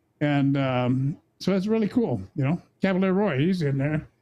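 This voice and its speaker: A man's ordinary speaking voice with an American accent, fairly high pitch and lively intonation. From US Midwest, Kansas City suburbs. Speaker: video game streamer. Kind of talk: casual interview chat.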